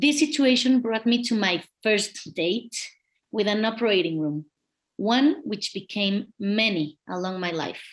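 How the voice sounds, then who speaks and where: A woman with a Spanish accent talks at a fairly slow pace and a fairly high pitch, her intonation lively over a quiet background. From Mexico. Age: 40s. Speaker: kidney patient advocate, lawyer. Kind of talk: testimony. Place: home room. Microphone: webcam.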